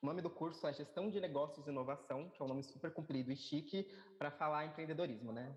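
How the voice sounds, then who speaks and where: A man at a fairly high pitch, very fast pace and ordinary pitch variation. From São Paulo periphery, Brazil. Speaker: musician. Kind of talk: interview.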